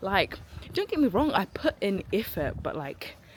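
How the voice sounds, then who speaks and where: A woman talks in an animated tone at a moderate pace. Noticeable background noise runs underneath. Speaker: aspiring actor and vlogger. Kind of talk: casual vlog talk. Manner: loud.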